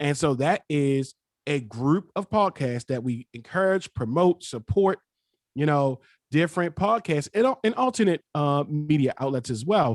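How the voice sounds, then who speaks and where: Recorded dry and close with no echo, a man with an American accent talks fairly slowly in a fairly high pitch, using lively intonation. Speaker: podcaster. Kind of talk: panel discussion. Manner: animated.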